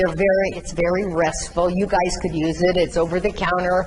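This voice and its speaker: A woman's voice comes through somewhat breathy. Audible room echo surrounds it. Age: 70s. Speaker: patient speaker on chronic illness. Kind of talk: talk to nursing students. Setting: classroom with student audience. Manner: halting.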